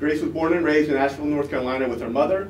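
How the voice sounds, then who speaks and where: A man's fairly high voice carries audible room echo over noticeable background noise. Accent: American. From Washington, D.C., US. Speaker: student presenter. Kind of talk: academic conference presentation.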